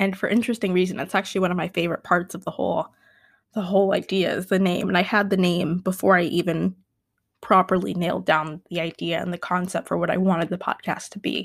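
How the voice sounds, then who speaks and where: A woman speaks very fast at a medium pitch with vocal fry and a flat, monotone delivery, recorded very cleanly over a silent background. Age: 20s. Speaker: podcast host. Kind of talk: solo unedited monologue. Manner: loud; halting.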